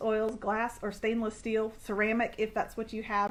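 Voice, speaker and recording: With an ordinary speaking voice, a woman talks at a fairly high pitch. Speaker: essential oils seller. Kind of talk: product demo.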